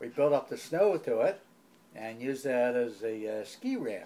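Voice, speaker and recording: A man talks at a fairly slow pace in a dark, mellow tone. His intonation is lively. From New Jersey and Philadelphia area, US. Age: 80s+. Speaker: family elder interviewed about his life. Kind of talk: oral history interview. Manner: halting, with many pauses and self-corrections.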